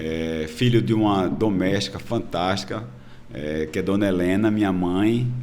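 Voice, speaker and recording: Over noticeable background noise and audible room echo, a man speaks at a very deep, low pitch. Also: ordinary pitch variation. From Brazil, Pernambuco (Recife). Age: 60s. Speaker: politician, retired military police colonel. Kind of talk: podcast interview. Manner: hesitant, many fillers.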